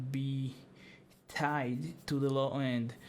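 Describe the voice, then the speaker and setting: With a non-native accent, a man speaks at medium pitch with fairly even intonation, and audible room echo is present. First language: not English. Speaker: music producer. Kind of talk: tutorial. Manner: halting.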